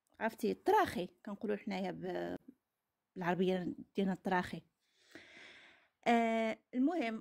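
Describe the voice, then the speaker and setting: A woman's voice with very wide pitch swings and a Moroccan accent. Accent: regional Moroccan dialect recognizable. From Morocco. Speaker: caller sharing personal story. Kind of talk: testimony. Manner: halting.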